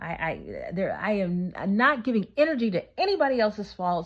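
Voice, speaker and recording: A woman of medium pitch with lively intonation. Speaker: vlogger giving relationship advice. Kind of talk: casual vlog monologue. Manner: fast; animated.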